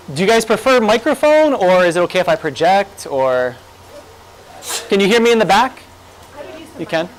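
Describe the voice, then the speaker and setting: A man's high voice with very wide pitch swings, a fairly quick pace, long and frequent pauses, and noticeable background noise. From Hawaii, Kahaluu on Oahu. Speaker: college English teacher and fiction writer. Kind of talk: conference talk. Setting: lecture room with audience, microphone. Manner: animated, gestures a lot.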